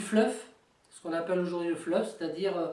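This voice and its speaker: A woman speaks with ordinary pitch variation. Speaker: tabletop wargame hobbyist. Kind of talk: casual talk to camera. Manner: hesitant, many fillers.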